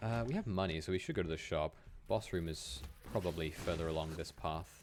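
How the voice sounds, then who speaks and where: A man speaks at a fairly quick pace in a very deep, low voice. Music plays in the background. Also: ordinary pitch variation. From Wales. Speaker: video game streamer. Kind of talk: casual live-stream gameplay commentary. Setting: live stream. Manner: stammering, repeats words.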